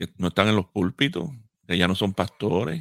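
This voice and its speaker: A man speaks at a moderate pace with a very deep, low pitch. The recording is very clean with a silent background and a dry, close sound with no echo. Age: 50s. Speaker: pastor and radio co-host. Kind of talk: radio talk show discussion.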